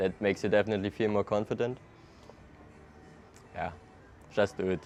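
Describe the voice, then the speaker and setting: Here a man talks with a German accent at a fairly low pitch. His intonation is monotone and flat. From Germany, Hamburg. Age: 20s. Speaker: traveler. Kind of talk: casual interview. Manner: hesitant, casual with fillers.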